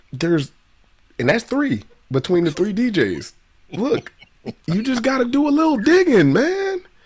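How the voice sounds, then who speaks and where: Over noticeable background noise, a man speaks at an extremely high pitch and a moderate pace, his pitch swinging very widely while his loudness stays very even, with long, frequent pauses. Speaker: DJ and co-host. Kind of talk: casual chat. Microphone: too quiet for some listeners.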